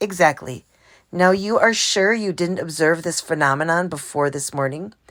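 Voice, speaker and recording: A raspy, put-on character voice at a moderate pace with ordinary pitch variation. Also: woman, fairly low pitch for a woman. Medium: read story. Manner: stern, formal.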